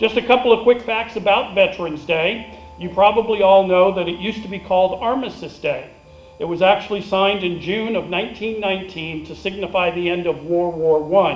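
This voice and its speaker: With music in the background and audible room echo, a man speaks at a moderate pace in a high pitch, his intonation fairly even. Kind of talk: ceremony speech. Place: stage.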